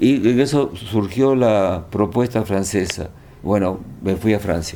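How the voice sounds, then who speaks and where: Using a dark, mellow tone, a man talks at a fairly slow pace with lively intonation. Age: 80s+. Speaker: historian and author. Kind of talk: interview. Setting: at his home in Lima.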